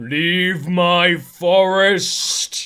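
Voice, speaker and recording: The pitch lands in the middle range. The speaker is doing a put-on character voice. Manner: commanding, booming.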